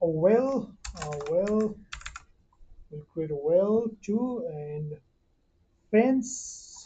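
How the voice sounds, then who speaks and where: A woman talks very slowly in a medium pitch, with long, frequent pauses. Her pitch swings very widely and her loudness shifts a lot. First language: not English. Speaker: 3D modeling tutor. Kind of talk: tutorial. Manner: halting, many fillers.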